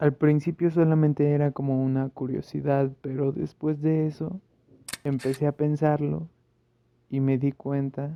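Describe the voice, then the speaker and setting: Speaking at a very slow pace, a man keeps his fairly high voice in fairly even intonation. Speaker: football YouTuber. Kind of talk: casual vlog commentary.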